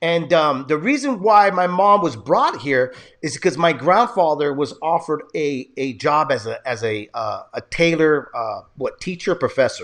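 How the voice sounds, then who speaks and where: Against a quiet background, a man with a high pitch talks at a moderate pace with lively intonation and hardly any pauses. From San Jose, California. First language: Spanish. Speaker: podcast host. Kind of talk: casual interview chat.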